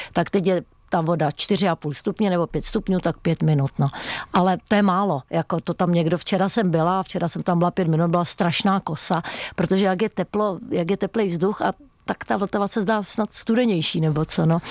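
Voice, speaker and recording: A plain, everyday voice with ordinary pitch variation and very even loudness moves at a moderate pace in a very clean recording with a silent background and a dry, close sound with no echo. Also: woman, fairly low pitch for a woman. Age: 60s. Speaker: fitness instructor and stuntwoman. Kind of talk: radio interview.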